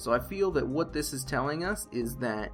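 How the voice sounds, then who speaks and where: The delivery has a moderate speed and ordinary pitch variation. Background music is present. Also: man. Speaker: game lore commentator. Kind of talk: casual commentary to viewers. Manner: hesitant, says uh often.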